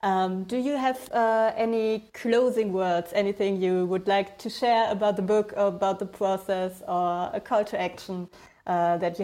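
This woman has a dark, mellow tone and fairly even intonation, talking at a moderate pace with hardly any pauses. The recording is very clean, with a silent background. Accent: German. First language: German. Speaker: podcast host. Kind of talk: interview.

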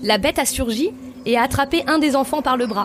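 There is noticeable background noise behind a woman with a high pitch. She talks at a moderate pace with ordinary pitch variation. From France, Lozère. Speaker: tour guide. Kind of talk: storytelling.

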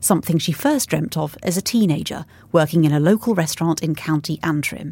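Recorded very cleanly against a silent background, a woman talks at a fairly quick pace in a normal speaking voice, fairly low in pitch with ordinary pitch variation. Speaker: podcast host and editor. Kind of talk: interview.

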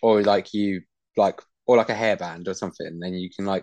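Dry, close sound with no echo carries a man's voice at a fairly quick pace. His pitch varies in an ordinary way. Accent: English. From Britain. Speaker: podcast co-host. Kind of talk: casual chat.

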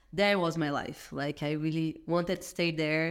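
This woman has a very deep, low pitch and a Brazilian accent. She talks at a moderate pace with monotone, flat intonation. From Brazil, Minas Gerais. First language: Portuguese. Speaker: entrepreneur, event organizer. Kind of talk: casual interview chat.

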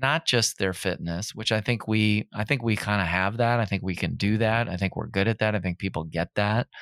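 With an American accent, a man talks in a plain, everyday voice at a fairly low pitch and a fairly quick pace, with ordinary pitch variation and hardly any pauses, in a very clean, dry, close recording with no echo and a silent background. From Minnesota. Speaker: fitness trainer and gym owner. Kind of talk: casual interview.

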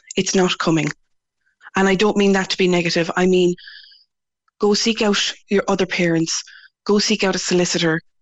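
A woman talks in a medium pitch with flat, monotone intonation. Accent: Irish. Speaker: parent campaigner. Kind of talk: interview. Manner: confident.

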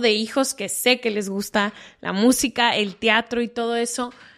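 Over a quiet background, a woman speaks at a high pitch. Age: 30s. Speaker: podcast host. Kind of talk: casual chat.

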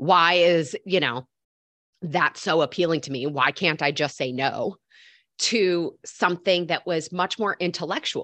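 A woman speaks at a fairly slow pace in an ordinary speaking voice, her pitch fairly low with ordinary variation, the sound dry and close with no echo against a quiet background. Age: 30s. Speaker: health coach. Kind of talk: casual interview.

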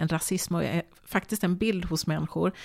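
On a very clean recording with a silent background, a woman with a fairly low pitch and vocal fry speaks at a moderate pace. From Sweden, Borås. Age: 50s. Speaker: TV presenter. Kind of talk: casual chat. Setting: home kitchen.

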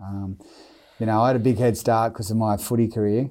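Over a silent background in a very clean recording, a man talks at a very fast pace in a fairly low pitch with a dark, mellow tone. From Australia, Newcastle NSW. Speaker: former rugby league player and brain cancer charity founder. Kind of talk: interview.

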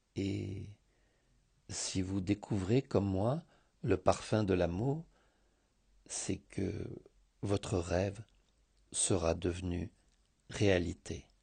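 Against a quiet background, a man talks at a very slow pace with long, frequent pauses. His very deep, low voice is somewhat breathy, with a dark, mellow tone and ordinary pitch variation. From Greece, Thessaloniki. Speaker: contributor reading a written scent story. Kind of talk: reading aloud.

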